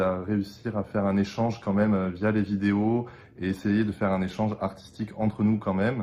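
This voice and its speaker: The voice has a dark, mellow tone and a monotone, flat intonation. The pace is moderate. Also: man. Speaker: opera singer (bass). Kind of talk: casual video introduction. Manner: hesitant, many fillers.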